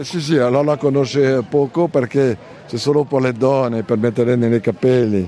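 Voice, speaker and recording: Noticeable background noise runs under a man speaking at medium pitch. He keeps a moderate pace with ordinary pitch variation and hardly any pauses. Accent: French. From France, Normandy. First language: French (speaking Italian). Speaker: food market vendor. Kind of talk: guided tour interview. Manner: halting.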